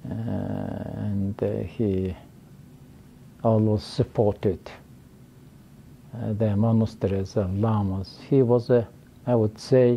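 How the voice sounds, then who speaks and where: A man with a Mongolian accent, a dark, mellow tone, and fairly low pitch, at a very slow pace with fairly even intonation and long, frequent pauses. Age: 80s+. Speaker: professor. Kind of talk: interview. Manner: halting.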